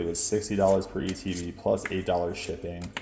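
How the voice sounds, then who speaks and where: Noticeable noise fills the background. Delivery keeps a moderate pace. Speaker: collectibles content creator. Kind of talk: casual vlog commentary, pack opening. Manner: animated.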